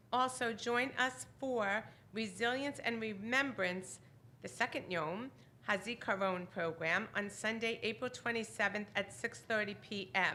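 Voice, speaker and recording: A woman speaks loudly at a fairly slow pace in a bright, sharp tone, with a fairly high pitch and ordinary pitch variation. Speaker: synagogue announcements leader. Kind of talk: congregational announcements. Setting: synagogue service.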